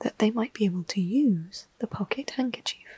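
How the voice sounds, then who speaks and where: At a fairly slow pace, the speaker talks in a soft-spoken way. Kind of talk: ASMR storybook reading.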